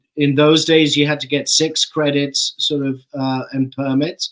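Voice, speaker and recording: A man with an English accent, fairly high-pitched and fairly slow. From born in London, grew up in Saskatchewan, Canada. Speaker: actor. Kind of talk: interview. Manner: halting, many fillers.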